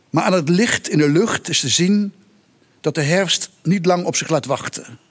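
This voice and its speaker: This is a man speaking. His intonation is lively. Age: 60s. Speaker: writer. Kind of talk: reading aloud. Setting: stage with audience.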